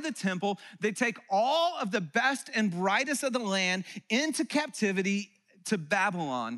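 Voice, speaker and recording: In a raised, projected voice, a man speaks at a moderate pace with a high pitch, lively intonation and a bright, sharp tone. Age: 40s. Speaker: pastor. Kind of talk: sermon. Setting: church.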